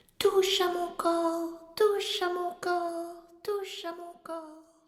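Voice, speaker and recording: A man puts on a character voice pitched extremely high. He speaks very slowly in a monotone, flat intonation. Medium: read story. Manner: repeats phrases three times.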